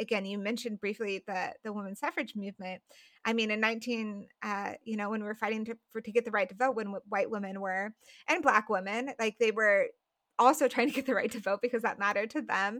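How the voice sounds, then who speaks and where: A woman with a normal speaking voice and an American accent talks at a fairly quick pace and a fairly high pitch. Her intonation is fairly even, and the sound is dry and close with no echo. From Colorado, US. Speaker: writer, podcaster and former missionary. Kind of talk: interview conversation.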